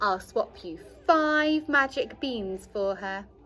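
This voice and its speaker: A woman uses a put-on character voice, croaky and high in pitch, with very wide pitch swings. She speaks at a very slow pace. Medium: read story.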